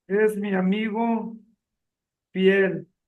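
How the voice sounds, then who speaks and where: High-pitched male voice with audible room echo. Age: 60s. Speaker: retired accountant. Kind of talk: testimony reading aloud.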